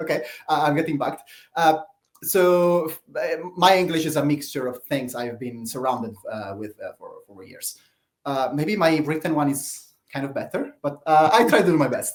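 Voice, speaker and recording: With an Italian accent, a man with a fairly high voice speaks at a moderate pace with ordinary pitch variation. His loudness swings widely. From Italy. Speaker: open-source project leader. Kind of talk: live Q&A talk. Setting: live stream. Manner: halting, many fillers.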